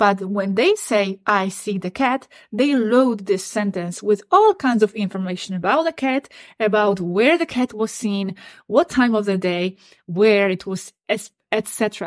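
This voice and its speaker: In a very clean recording with a silent background and a dry, close sound with no echo, a woman with a non-native accent speaks at a medium pitch with ordinary pitch variation. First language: not English. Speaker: YouTube channel host on channelled extraterrestrial contact. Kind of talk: solo monologue to camera, partly reading out channelled messages. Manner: repetitive, stammering restarts.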